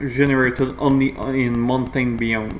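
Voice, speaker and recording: A man speaks at a medium pitch and a fairly slow pace. The room echo is audible, and background noise is noticeable. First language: not English. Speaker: gaming video creator. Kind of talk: gameplay commentary tutorial. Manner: halting, many fillers.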